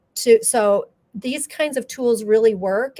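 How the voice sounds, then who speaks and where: A woman with a plain, everyday voice speaks at a fairly slow pace, her fairly high pitch moving with ordinary variation. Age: 60s. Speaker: graphic facilitator. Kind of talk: interview.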